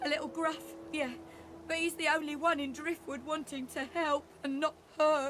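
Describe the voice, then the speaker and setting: A female-sounding, shaky, put-on character voice with a high pitch comes at a moderate pace over clear background noise. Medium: video game. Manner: stammering, shaky.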